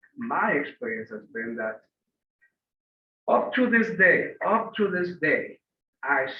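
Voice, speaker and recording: A man is speaking. His pitch swings very widely. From Puerto Rico. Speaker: panelist. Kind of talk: panel discussion.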